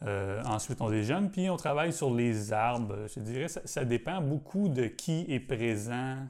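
A man with a normal speaking voice at medium pitch talks at a fairly slow pace with hardly any pauses. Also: lively intonation. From Quebec, south shore of Montreal. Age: 40s. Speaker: botanical garden bonsai curator. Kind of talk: casual interview.

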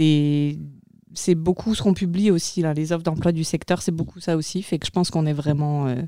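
With fairly even intonation, the woman delivers her lines at a moderate pace and a very deep, low pitch. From France. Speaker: regional youth migration agent. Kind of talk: casual interview.

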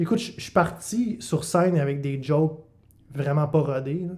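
The man has a fairly high, somewhat breathy voice. His pitch varies in an ordinary way. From Quebec, Bas-Saint-Laurent. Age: 20s. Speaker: comedian. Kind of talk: casual chat.

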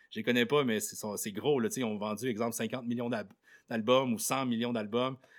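At a moderate pace, a man with a plain, everyday voice speaks at a medium pitch with fairly even intonation on a very clean recording with a silent background. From Quebec, Côte-Nord (Sept-Îles). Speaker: radio host. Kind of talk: interview. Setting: classroom with live student audience.

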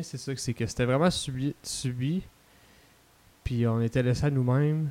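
Soft-spoken and dark, mellow in tone, a man with a Quebec accent talks at a fairly slow pace and medium pitch. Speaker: podcast guest. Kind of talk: casual chat.

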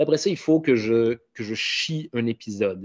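Speaking in a Quebec accent, a man uses a medium pitch with ordinary pitch variation. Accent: Québécois French. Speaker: comedian and podcaster. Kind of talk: casual interview.

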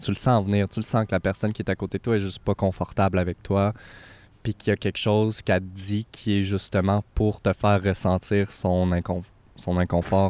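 A man speaks in a fairly low pitch at a fairly quick pace. His intonation is monotone and flat. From Quebec, Abitibi (Amos). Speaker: podcast guest. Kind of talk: casual chat.

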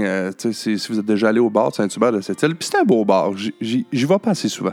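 With music playing behind him, a man in a Quebec accent speaks at a moderate pace in a fairly low voice. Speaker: podcast host. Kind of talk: casual chat. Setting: bar interview (intro recorded at home). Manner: relaxed, jokey.

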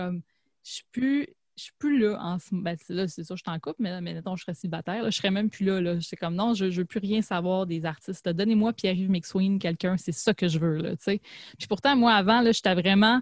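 A somewhat breathy voice in a Quebec accent, fairly quick, with ordinary pitch variation and big swings in loudness, the sound dry and close with no echo. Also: woman, medium pitch for a woman. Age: 30s. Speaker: podcast host. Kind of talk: casual chat.

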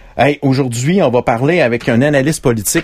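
A man speaks with a Quebec accent. His pace is fairly quick. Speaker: podcast host. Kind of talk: casual chat. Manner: animated.

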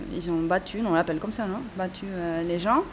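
Over noticeable background noise, a woman talks at a medium pitch and a moderate pace with ordinary pitch variation. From Catalonia, Barcelona. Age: 30s. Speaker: protester and witness. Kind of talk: testimony. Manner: halting.

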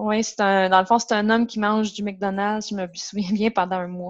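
With a plain, everyday voice, a woman speaks at a moderate pace and medium pitch with fairly even intonation, in a dry, close sound with no echo over a quiet background. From Quebec, Gaspésie (Matapédia Valley). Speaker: nutritionist. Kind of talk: casual interview.

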